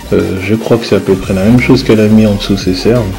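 A man's medium-pitched voice with fairly even intonation, music playing behind it. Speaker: husband doing voice-over for wife's makeup video. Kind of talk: casual improvised commentary over video, humorous. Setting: voice-over recorded over tutorial footage. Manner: bemused, joking, uninformed about makeup.

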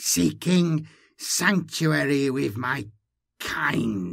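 A man uses a put-on character voice, strained and hissing with vocal fry, at a fairly high pitch and a very slow pace. His intonation is lively, and the recording is very clean with a silent background.

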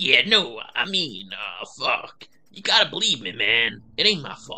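A man puts on a character voice, high in pitch and at a fairly slow pace. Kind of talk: crude, gangster slang. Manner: pleading, defensive.

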